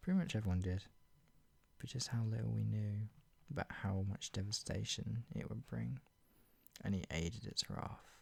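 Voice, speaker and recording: Lively intonation from a man with a fairly low pitch and a somewhat breathy voice. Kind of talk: dramatic reading of own dark fiction. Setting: ASMR reading video, soft spoken.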